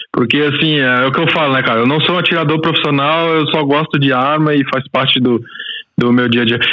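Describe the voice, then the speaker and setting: A man with a fairly high pitch, fairly quick pace, fairly even intonation and very even loudness, over noticeable background noise. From Brazil, Goiás. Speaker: podcast host, guest. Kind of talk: casual interview chat. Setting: remote recording before work.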